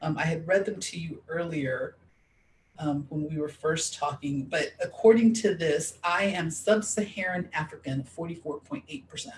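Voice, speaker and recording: The speaker talks at a moderate pace with lively intonation and an animated tone. The voice is somewhat breathy. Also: woman, fairly low pitch for a woman. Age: 40s. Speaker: discrimination advocate. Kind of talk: interview conversation. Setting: Facebook live stream.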